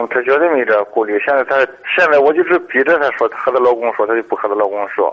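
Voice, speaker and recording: This man talks at a very fast pace, his medium pitch rising and falling in an ordinary way. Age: 40s. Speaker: caller, construction worker. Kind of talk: phone-in advice call. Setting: phone call. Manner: halting.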